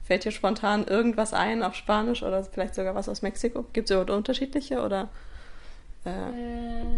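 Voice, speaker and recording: A woman speaks at a fairly quick pace, her pitch fairly high with vocal fry. Her pitch variation is ordinary. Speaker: podcast host and German teacher. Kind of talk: casual interview. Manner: hesitant, many fillers.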